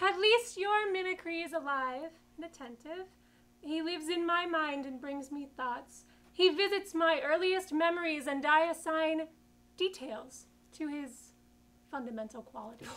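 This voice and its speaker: This put-on character voice is high-pitched and squeaky, moving at a moderate pace. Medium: stage play. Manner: contemplative, guarded.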